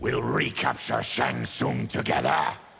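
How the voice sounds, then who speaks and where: A man's growling, put-on character voice at a fairly slow pace, with clear background noise. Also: very deep, low pitch for a man. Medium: machinima. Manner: grim, resolute.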